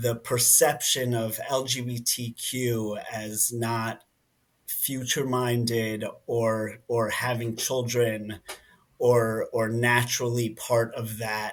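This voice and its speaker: Monotone and flat, a man with a New Jersey accent and medium pitch talks at a very slow pace. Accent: American English, New Jersey. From New Jersey, US. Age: 30s. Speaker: nonprofit director. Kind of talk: interview conversation. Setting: podcast.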